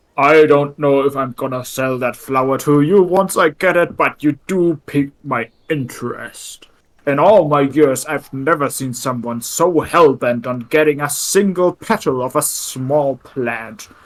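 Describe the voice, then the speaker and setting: A man speaks at a moderate pace in a fairly high pitch. He uses a put-on character voice. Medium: actual play. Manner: folksy, hearty, ends lines with 'eh'.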